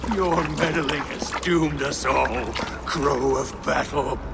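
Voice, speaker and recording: Over loud background noise, a put-on character voice talks at a fairly slow pace. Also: man, fairly high pitch for a man. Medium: machinima. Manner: grave, bitter.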